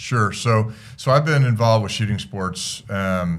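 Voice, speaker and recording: At a moderate pace, a man speaks with lively intonation amid audible room echo. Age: 60s. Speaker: clay shooting coach. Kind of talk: interview.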